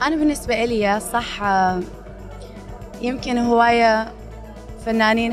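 With clear music in the background, a woman with a fairly high pitch speaks very slowly and with fairly even intonation. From Iraq. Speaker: actress. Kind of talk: interview answer. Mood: friendly, upbeat. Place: hall. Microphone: handheld.

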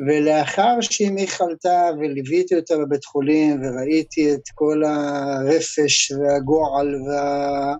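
The sound is dry with no echo as a man speaks at a very slow pace with hardly any pauses. His voice is fairly high, with fairly even intonation. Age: 50s. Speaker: protest activist, former forklift driver; interview guest. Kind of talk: interview. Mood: somber, emotional personal story. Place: home room. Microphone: video call.

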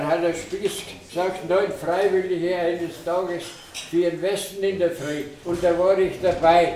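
Speaking at a very slow pace, a man with a high-pitched voice is heard over light background noise, with audible echo in the room. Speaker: war veteran; witness. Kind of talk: testimony. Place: hall.

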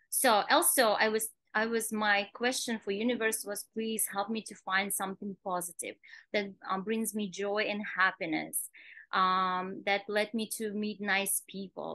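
A woman speaks at a moderate pace with fairly even intonation and a bright, sharp tone. The background is quiet. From Kazakhstan. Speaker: nail salon owner; podcast guest. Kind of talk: interview. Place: home room. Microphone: video call.

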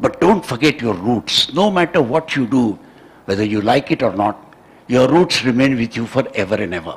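With an Indian accent, a man talks at a moderate pace, his pitch swinging very widely. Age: 70s. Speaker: scientist and education advisor. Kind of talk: lecture. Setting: stage with audience. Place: hall. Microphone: podium.

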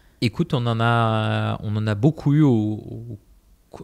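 A man with an ordinary speaking voice at a medium pitch, with ordinary pitch variation, on a very clean recording with a silent background. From southern Spain (Malaga). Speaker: startup founder. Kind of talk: casual interview.

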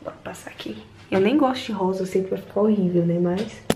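Background noise can be clearly heard. The talking goes at a moderate speed, its pitch varying in an ordinary way. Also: woman. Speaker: vlogger. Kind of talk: casual vlog chat. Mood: playful, joking. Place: bathroom. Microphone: phone near.

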